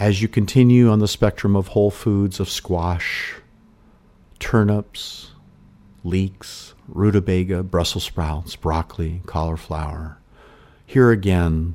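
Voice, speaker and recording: A man's very deep, low, dark, mellow voice with a soothing tone, fairly slow pace and ordinary pitch variation, on a very clean recording with a silent background. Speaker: hypnotherapist. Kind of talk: guided meditation.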